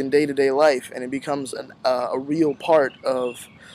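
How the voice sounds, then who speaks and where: The man's intonation stays fairly even, with noticeable background noise present. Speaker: university student. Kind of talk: farewell address to classmates.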